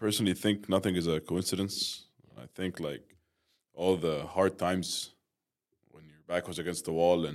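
A man with an Arabic accent, his pitch very deep and low, at a moderate pace with ordinary pitch variation. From Egypt. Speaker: friend of the guest. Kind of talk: casual chat.

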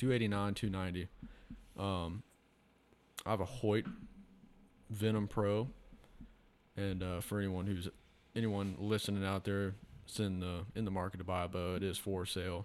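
This man talks at a moderate pace in a fairly low pitch. His intonation is monotone and flat, broken by long, frequent pauses. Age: 20s. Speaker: truck parts salesman, hunter. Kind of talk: casual chat.

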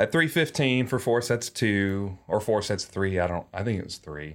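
A man talks at a moderate pace with a slight Southern US accent and a fairly low pitch. His ordinary pitch variation comes through in a very clean recording with a silent background. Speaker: podcast host. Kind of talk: casual chat.

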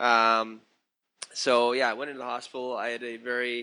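A man speaks at medium pitch in a bright, sharp tone. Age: 40s. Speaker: documentary filmmaker and mental health advocate. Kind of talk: interview. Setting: phone call. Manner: halting with many fillers.

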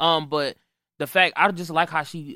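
In an American accent, a plain, everyday voice speaks at a moderate pace with ordinary pitch variation on a very clean recording with a silent background. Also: man. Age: 20s. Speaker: R&B singer. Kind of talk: casual chat. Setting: studio.

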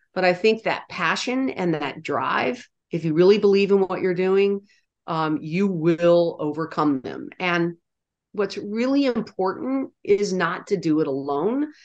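This woman has an unremarkable speaking voice of medium pitch. She speaks at a fairly slow pace with lively intonation. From US, military family upbringing. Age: 60s. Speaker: nonprofit founder and CEO. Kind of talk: interview.

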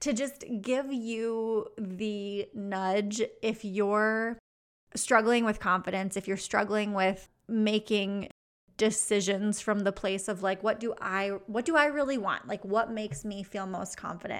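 A woman speaks in a plain, everyday voice, fairly high in pitch, at a fairly slow pace. Her intonation stays fairly even on a very clean recording with a silent background. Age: 30s. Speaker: podcast host, business coach. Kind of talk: solo podcast monologue. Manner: casual, laughs often.

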